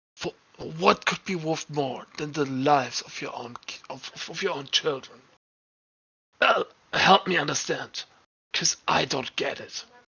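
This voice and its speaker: A put-on character voice, low-to-middle in pitch, at a moderate pace with long, frequent pauses. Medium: actual play. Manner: measured, probing.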